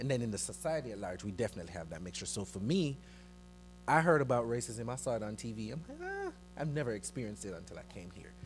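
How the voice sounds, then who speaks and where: Against music in the background and audible room echo, a man speaks at a very fast pace with big swings in loudness. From Jamaica. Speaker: church youth ministry member. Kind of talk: panel discussion.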